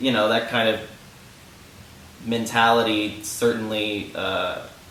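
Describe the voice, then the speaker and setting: There is audible room echo and noticeable background noise. A man speaks with a fairly low pitch. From New Orleans, Louisiana. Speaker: pop singer and songwriter. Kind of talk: interview. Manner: hesitant, many fillers.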